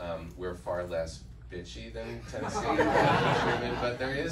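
Very deep, low male voice at a fairly slow pace, with noticeable background noise. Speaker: actor at screening Q&A. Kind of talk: onstage remarks to audience. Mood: earnest, reflective. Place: hall.

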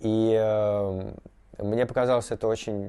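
The man's voice sits at a medium pitch and has a dark, mellow tone. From Moscow, Russia; Russia. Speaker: artist. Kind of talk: interview; interview answer. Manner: halting, many fillers. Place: workshop.

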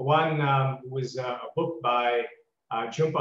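Audible room echo surrounds a man's somewhat breathy voice, with fairly even intonation. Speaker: guest lecturer. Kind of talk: lecture. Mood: warm, self-deprecating. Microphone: video call.

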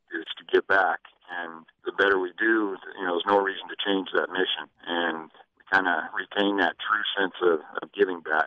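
In an American accent, a man speaks with a very deep, low pitch, monotone, flat intonation and a moderate pace. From western Colorado, Grand Junction. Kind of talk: radio interview.

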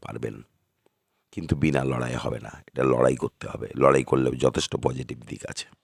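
Vocal fry runs through a man's voice, recorded dry and close with no echo. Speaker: astrologer. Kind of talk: monthly horoscope talk to camera. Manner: halting, short phrases.

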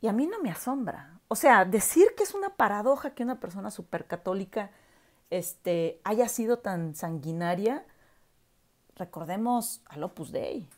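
A woman's fairly slow speech with lively intonation and long, frequent pauses against a quiet background. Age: 40s. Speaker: university professor; commentator reviewing a documentary. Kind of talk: video commentary monologue; casual vlog commentary. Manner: hesitant, many filler words. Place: home room. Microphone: earbuds.

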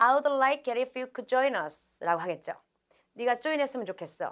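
Over a quiet background, the voice moves through very wide pitch swings. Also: woman. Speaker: English test instructor. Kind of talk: lecture. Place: studio.

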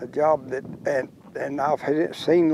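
This is a man speaking. He talks with a Texan accent. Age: 80s+. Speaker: cowboy. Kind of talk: interview answer.

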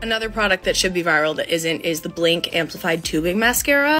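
Faint music plays in the background. Speech moves at a fairly quick pace. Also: woman. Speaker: beauty creator. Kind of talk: casual product review vlog. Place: home room. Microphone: phone near.

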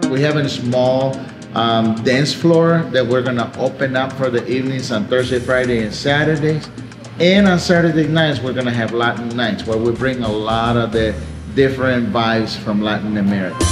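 Music plays clearly behind a man speaking at a moderate pace. His pitch rises and falls in an ordinary way. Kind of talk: interview answer. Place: cafe.

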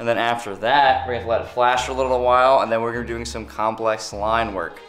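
A man talks at a fairly quick pace with ordinary pitch variation. Faint music plays behind him. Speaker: car builder vlogger. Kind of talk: casual vlog chat. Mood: upbeat, joking. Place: workshop. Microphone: phone near.

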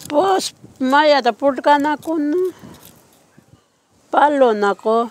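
A woman speaks at a very slow pace in a high voice with ordinary pitch variation, the sound dry with no echo. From Western Australia. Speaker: community elder. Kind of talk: interview. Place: open country.

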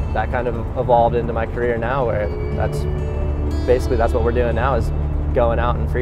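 Music in the background behind a man, the sound dry with no echo. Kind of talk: interview answer.

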